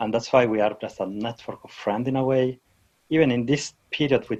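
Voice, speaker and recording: At a moderate pace, a man speaks with a non-native accent. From Switzerland. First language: not English. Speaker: database technology speaker. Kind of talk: interview. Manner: halting.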